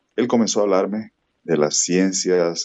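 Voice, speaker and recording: At a fairly slow pace, a man speaks in a very deep, low pitch with ordinary pitch variation. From Colombian Caribbean coast, Valledupar. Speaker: meteorology professor. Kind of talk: radio interview. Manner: formal.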